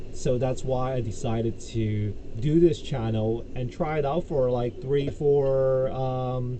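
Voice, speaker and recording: A man speaks very slowly at a medium pitch with fairly even intonation. The room echo is audible, and there is noticeable background noise. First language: Cantonese. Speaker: YouTuber, crypto commentator. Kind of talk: casual vlog monologue. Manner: halting, many fillers.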